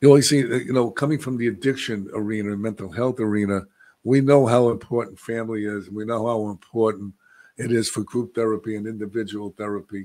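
In a quiet background, a man talks at a very fast pace with fairly even intonation. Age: 70s. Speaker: podcast host, addiction recovery; podcast host. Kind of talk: casual interview. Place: studio. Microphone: studio mic.

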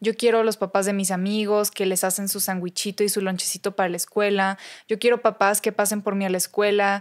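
Against a quiet background, the speech moves at a fairly quick pace with monotone, flat intonation. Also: woman. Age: young. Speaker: speaker and recovering addict; podcast guest. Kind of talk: interview, personal testimony. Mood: reflective, personal. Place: studio. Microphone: studio mic.

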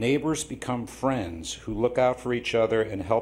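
Over audible room echo, a man speaks at a moderate pace. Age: 70s. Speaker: public commenter at city council. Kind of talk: public comment speech. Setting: city council meeting. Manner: halting, with fillers.

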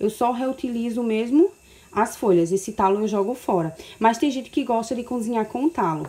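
The tone is dark and mellow. The pace stays moderate. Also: woman. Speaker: home cooking vlogger. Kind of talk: casual cooking tutorial. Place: kitchen. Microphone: phone near.

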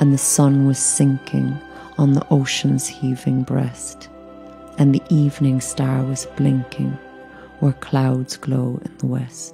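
A woman speaks at a very slow pace. Music plays behind her. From Ireland. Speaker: actress. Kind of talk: poetry reading.

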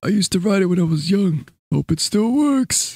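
At a middle pitch and moderate pace, the speaker performs a put-on character voice. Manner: tired, wistful.

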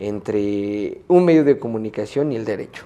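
The man's dark, mellow tone comes at a fairly slow pace with ordinary pitch variation. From Mexico, Puebla. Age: young. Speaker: media entrepreneur and lawyer; lawyer. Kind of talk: interview. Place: studio. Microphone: lapel.

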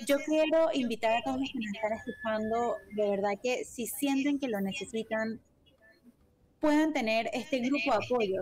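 The speaker is a woman with a fairly slow delivery. Her voice rises and falls in an ordinary way. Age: 30s. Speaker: radio co-host; radio program host. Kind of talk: casual chat; news reading. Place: home room. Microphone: video call.

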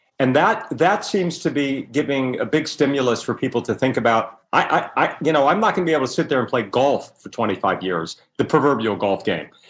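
This man's voice sits at a fairly high pitch and moves through very wide pitch swings. He talks at a fairly quick pace. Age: 60s. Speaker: author and former magazine publisher. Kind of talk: interview.

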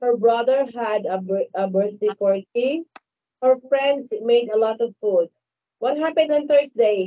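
The tone is dark and mellow, the pace fairly slow and the pitch variation ordinary, over a quiet background. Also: woman, fairly high pitch for a woman. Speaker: online English tutor. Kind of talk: online English lesson with a child. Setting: video call. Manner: slow, repetitive. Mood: patient, encouraging. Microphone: headset.

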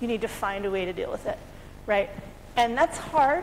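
A woman speaks with an American accent at a fairly high pitch. Her intonation is lively, with light background noise behind her. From US, California. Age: 40s. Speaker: conference speaker, community participation lead; conference presenter. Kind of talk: conference talk. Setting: conference room with audience. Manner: fast. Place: hall.

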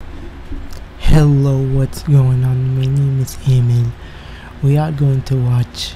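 Light background noise sits behind a man speaking very slowly in a flat monotone. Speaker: video reactor. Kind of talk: casual vlog chat. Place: home room. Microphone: studio mic.

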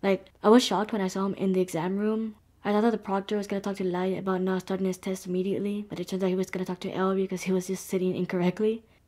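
A woman's very fast, monotone voice with flat intonation over a quiet background. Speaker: anime reaction youtuber. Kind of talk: commentary. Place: home room. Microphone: webcam.

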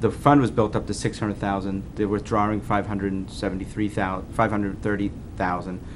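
Over noticeable background noise, a man with a fairly low voice speaks at a moderate pace in a flat monotone. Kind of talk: meeting explanation. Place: meeting room. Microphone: podium.

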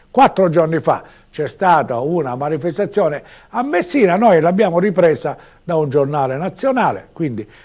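A man with a high voice speaks at a moderate pace against a quiet background. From Sicily. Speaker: local TV news commentator; local TV commentator. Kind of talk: TV news commentary; news commentary. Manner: conversational, hesitant with fillers. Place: studio. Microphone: lapel.

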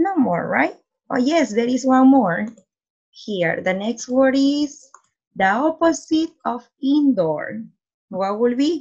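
Somewhat breathy, a woman speaks at a very slow pace. Her pitch swings very widely. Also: quiet background. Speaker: teacher. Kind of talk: reading lesson for children. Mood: warm, encouraging. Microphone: webcam.

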